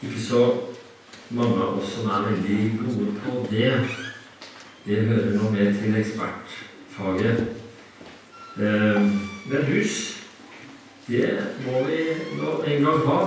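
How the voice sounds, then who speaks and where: Amid strong room echo and light background noise, a man with a fairly low pitch and ordinary pitch variation talks at a very slow pace with long, frequent pauses. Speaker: preacher. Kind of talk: sermon. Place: church.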